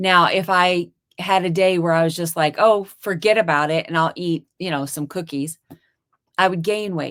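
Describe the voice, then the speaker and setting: A woman has an unremarkable speaking voice with a fairly low pitch. She talks at a fairly slow pace with fairly even intonation. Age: 50s. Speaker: dentist and carnivore diet youtuber. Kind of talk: interview testimony.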